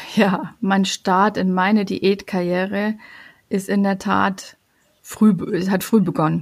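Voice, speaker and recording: A woman speaks very slowly in a flat, monotone delivery at a medium pitch, somewhat breathy. The recording is very clean with a silent background. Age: 40s. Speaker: family coach. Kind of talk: personal testimony. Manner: hesitant, many fillers.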